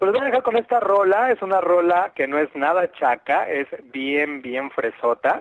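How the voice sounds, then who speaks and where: A man's voice has a dry, close sound with no echo, set against noticeable background noise. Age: 30s. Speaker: radio host. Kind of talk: casual chat.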